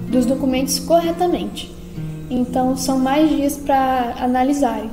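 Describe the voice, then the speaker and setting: Clear background music under a woman's fairly slow speech with ordinary pitch variation. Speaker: vlogger giving a personal update. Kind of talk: casual vlog chat. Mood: calm, informative. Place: home room. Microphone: phone near.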